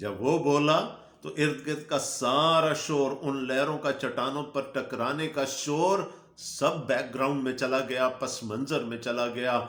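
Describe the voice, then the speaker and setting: Noticeable background noise accompanies a man whose voice sits fairly high. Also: fairly even intonation. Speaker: pastor, Bible preacher. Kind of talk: sermon.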